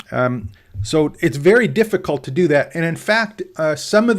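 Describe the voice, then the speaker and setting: In a very clean recording with a silent background, a man with a fairly high pitch talks at a moderate pace with very wide pitch swings. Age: 60s. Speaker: online course trainer and entrepreneur. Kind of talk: livestream tutorial talk. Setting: livestream. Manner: hesitant, with fillers and restarts.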